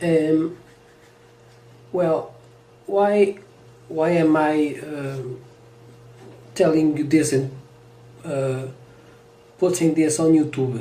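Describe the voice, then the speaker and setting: The speech comes at a very slow pace in a Portuguese accent, broken by long, frequent pauses. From Portugal. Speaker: vlogger. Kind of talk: personal monologue. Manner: halting.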